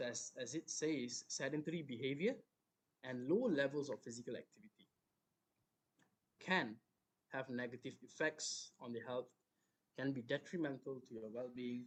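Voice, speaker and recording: Soft-spoken, the voice keeps a moderate pace with ordinary pitch variation and long, frequent pauses. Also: man, medium pitch for a man. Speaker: fitness coach. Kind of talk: online talk.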